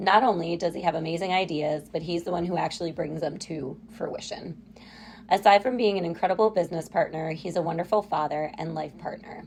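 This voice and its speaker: Speaking at a fairly quick pace, a woman with a fairly low pitch uses ordinary pitch variation. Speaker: podcast host and business co-founder. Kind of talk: podcast interview. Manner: loud.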